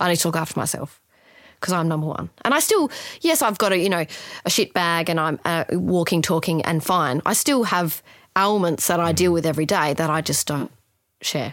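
With an Australian accent, a woman talks at a fairly quick pace, her fairly low pitch showing ordinary variation and her loudness very even. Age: 30s. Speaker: palliative care nurse. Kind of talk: interview conversation.

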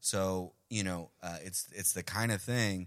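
This man's voice sits very deep and low, with an ordinary amount of pitch variation. He talks with a New York accent. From Colombia (Medellín), raised in Queens, New York. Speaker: podcast host. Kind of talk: casual chat.

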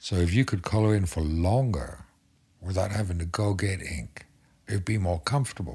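This man has a very deep, low pitch and a dark, mellow tone that is somewhat breathy. He talks at a moderate pace with ordinary pitch variation. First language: not English. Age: 50s. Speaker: tattoo artist. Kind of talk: casual chat.

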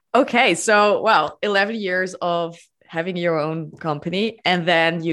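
Here is a woman with a medium pitch. Behind her is a quiet background. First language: not English. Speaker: podcast host. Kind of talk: interview.

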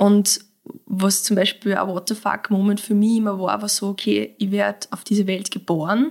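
The speech moves at a fairly slow pace and sounds somewhat breathy. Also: woman. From Austria, Mostviertel (Lower Austria). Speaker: clinical psychologist and breathwork teacher. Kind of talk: casual interview conversation.

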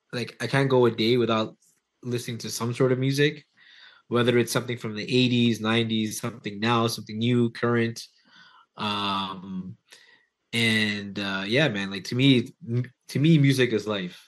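This man, with a Toronto accent, speaks with fairly even intonation. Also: medium pitch for a man, moderate pace, quiet background. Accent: Toronto Canadian. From Toronto area, Canada. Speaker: hip hop DJ and producer. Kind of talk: casual interview chat.

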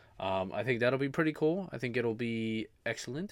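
On a very clean recording with a silent background, a man speaks at a fairly quick pace in an animated tone with lively intonation. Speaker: podcast host. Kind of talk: casual solo podcast monologue. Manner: informal, filler-heavy, animated.

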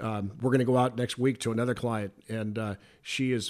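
With an American accent, a man speaks at a medium pitch and a moderate pace. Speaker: insurance broker, business owner. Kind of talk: casual interview. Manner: animated.

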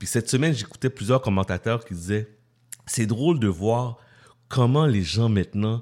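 A man's dark, mellow voice with ordinary pitch variation in a very clean recording with a silent background. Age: 40s. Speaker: radio host. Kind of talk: casual radio talk.

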